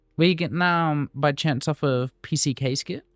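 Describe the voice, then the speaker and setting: Music plays in the background as a man speaks at a very slow pace. The sound is dry and close, with no echo. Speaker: streamer. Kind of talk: casual chat. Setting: live stream. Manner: slurred.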